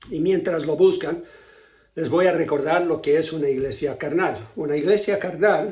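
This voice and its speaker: A man talks at a fairly slow pace. Room echo is audible around him. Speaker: pastor. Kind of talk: sermon.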